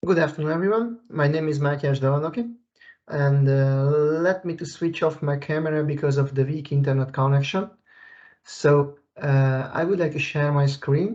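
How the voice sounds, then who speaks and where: The man's pitch is fairly high, and his voice is somewhat breathy. He keeps a moderate pace. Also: ordinary pitch variation. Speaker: technical expert. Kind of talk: software tutorial. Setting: video call. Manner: halting, many fillers. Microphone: weak internet connection.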